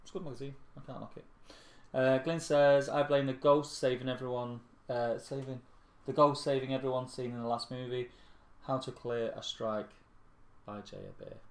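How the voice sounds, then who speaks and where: A man with a Mancunian accent speaks with fairly even intonation and big swings in loudness. He leaves long, frequent pauses. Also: medium pitch for a man, moderate pace. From Manchester, England. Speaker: tabletop gaming channel co-host. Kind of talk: casual live-stream chat.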